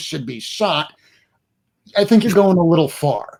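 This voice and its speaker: A man with lively intonation. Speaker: comic book YouTuber. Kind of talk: casual chat.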